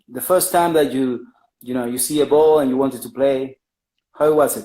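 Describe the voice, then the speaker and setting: The pace is moderate. The speaker has an Argentine accent. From Argentina. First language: Spanish. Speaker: podcast host. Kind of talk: interview. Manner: halting.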